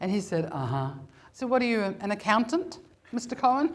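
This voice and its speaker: A woman with vocal fry talks at a moderate pace, her pitch swinging very widely. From New Zealand. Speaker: comedian and storyteller. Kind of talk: live comedy storytelling performance. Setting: live stage.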